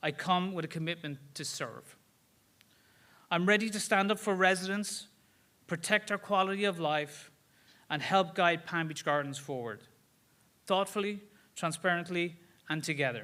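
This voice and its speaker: Over a silent background in a very clean recording, a man with a high pitch and a bright, sharp tone speaks at a moderate pace, using ordinary pitch variation and long, frequent pauses. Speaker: local election candidate. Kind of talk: campaign speech.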